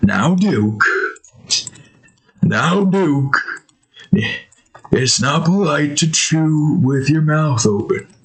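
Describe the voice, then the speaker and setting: Someone performs a put-on character voice with lively intonation and very even loudness. The delivery is very slow, with long, frequent pauses. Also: man, fairly high pitch for a man. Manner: motherly, scolding.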